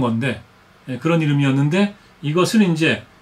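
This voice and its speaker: The pitch rises and falls in an ordinary way. Words come at a moderate speed. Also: man. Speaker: TV host and historian. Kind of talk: casual news commentary to camera. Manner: hesitant, many filler sounds.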